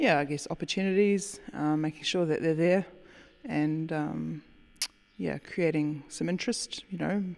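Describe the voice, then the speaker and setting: A woman with a New Zealand accent speaks in a very deep, low voice. Her pace is fairly slow and her pitch variation ordinary. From New Zealand, rural area south of Auckland. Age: 30s. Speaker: winemaker. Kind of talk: interview.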